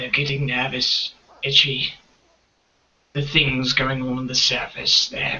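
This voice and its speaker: A man's raspy put-on character voice, medium in pitch and fairly slow, with long, frequent pauses. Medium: actual play. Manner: whispering, secretive.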